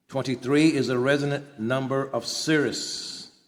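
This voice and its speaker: A man speaks at a medium pitch and a fairly slow pace with ordinary pitch variation. It is an ordinary speaking voice. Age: 60s. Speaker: author and independent journalist. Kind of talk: personal monologue.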